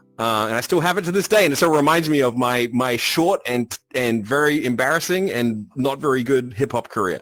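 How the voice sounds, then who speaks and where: With an Australian accent, a man speaks at medium pitch with lively intonation. He goes at a fairly quick pace with hardly any pauses, over noticeable background noise. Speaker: game company creative director and composer. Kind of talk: casual podcast chat.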